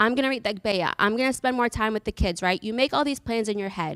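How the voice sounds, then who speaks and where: A woman with an American accent speaks with a fairly high pitch and ordinary pitch variation. The recording is very clean, with a silent background and a dry, close sound with no echo. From Massachusetts, US Northeast. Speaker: church talk speaker. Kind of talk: talk to a church group. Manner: fast.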